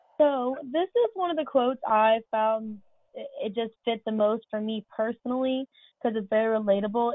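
With an American accent and an ordinary speaking voice, a woman with a fairly high pitch speaks at a moderate pace and with ordinary pitch variation. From Orlando, Florida. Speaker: youth council member with lived experience of homelessness. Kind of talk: webinar presentation. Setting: online webinar.

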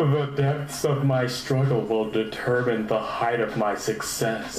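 A man puts on a character voice at medium pitch and a fairly slow pace. There is slight echo along with clear background noise. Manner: slow, mock-deep, overly profound.

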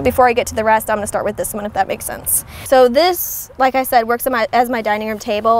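With music in the background, a woman talks at a very fast pace with ordinary pitch variation, in a dry recording with no echo. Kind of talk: casual vlog chat. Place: car. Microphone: lapel.

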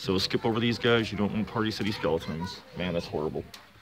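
A man's fairly low voice with ordinary pitch variation, over noticeable background noise. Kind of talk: casual vlog chat. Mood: critical, sarcastic. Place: shop. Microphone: phone near.

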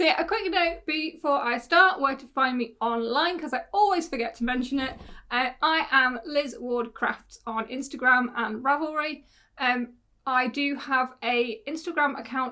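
Against a quiet background, a woman uses a raised, projected voice with a bright, sharp tone at a moderate pace. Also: ordinary pitch variation. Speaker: podcast host. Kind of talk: casual vlog chat. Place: home room.

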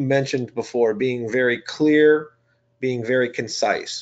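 A man's ordinary speaking voice at a medium pitch, fairly slow in pace, with ordinary pitch variation. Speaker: webinar moderator. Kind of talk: webinar moderation.

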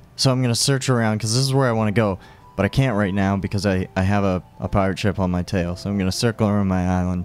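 With music in the background, a man rushes along at a very fast pace, his fairly low pitch showing ordinary variation. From Nova Scotia, Canada. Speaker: gamer, let's player. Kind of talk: casual gameplay commentary. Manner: casual, hesitant, rambling.

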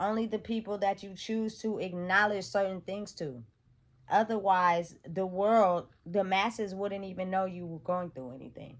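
Speaking at a moderate pace with an American accent, a woman shows ordinary pitch variation and big swings in loudness. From Sacramento, California; California. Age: 30s. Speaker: motivational vlogger. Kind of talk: motivational monologue. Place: home room. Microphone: phone near.

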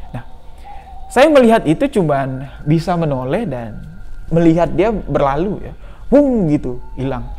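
A man talks at a fairly slow pace. His pitch moves with ordinary variation. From Jambi, Sumatra, Indonesia; Indonesia. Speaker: YouTube storyteller. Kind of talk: storytelling monologue. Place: home room.

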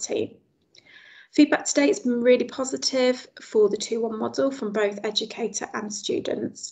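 In a quiet setting, a woman talks at a moderate pace, her pitch varying in an ordinary way. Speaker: presenter. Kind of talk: webinar presentation. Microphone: video call.

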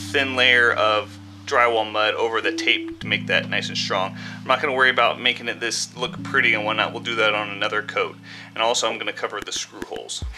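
Faint music plays in the background as the speaker goes at a fairly quick pace with ordinary pitch variation. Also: man. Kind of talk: tutorial. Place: garage. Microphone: phone near.

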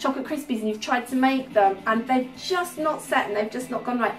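Over faint music in the background, a woman speaks at a fairly quick pace. Her pitch is high, with ordinary variation. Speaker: home cooking host. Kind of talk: cooking tutorial. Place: kitchen.

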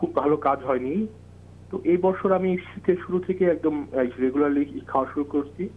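A man with a normal speaking voice keeps a very even loudness, his fairly high pitch showing ordinary pitch variation. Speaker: TV phone-in caller. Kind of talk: viewer question.

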